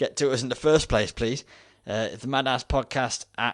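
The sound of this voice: An unforced reading voice with pitch varying in an ordinary way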